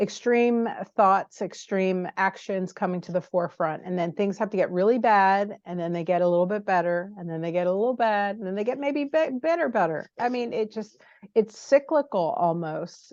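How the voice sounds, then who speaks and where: A woman with a normal speaking voice and medium pitch talks at a moderate pace with lively intonation. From United States. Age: 60s. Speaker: interviewer and publisher. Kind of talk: interview.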